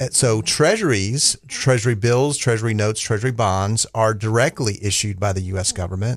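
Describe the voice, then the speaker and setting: Here is a man with an ordinary speaking voice, fairly low in pitch, at a moderate pace. His intonation is fairly even, and the background is quiet. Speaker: investment strategist. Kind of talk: radio interview. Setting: studio.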